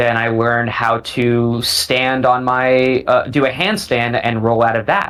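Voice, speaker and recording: Over noticeable background noise, a man with an American accent speaks at a fairly slow pace with hardly any pauses, a medium pitch and fairly even intonation. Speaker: parkour athlete. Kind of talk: casual chat. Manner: halting.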